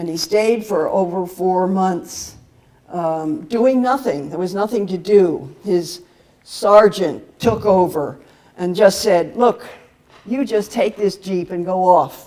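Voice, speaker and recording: A woman speaks at a medium pitch with an American accent. Her pace is very slow. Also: ordinary pitch variation. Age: 80s+. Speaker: peace activist. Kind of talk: talk at a seminar. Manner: halting, many fillers.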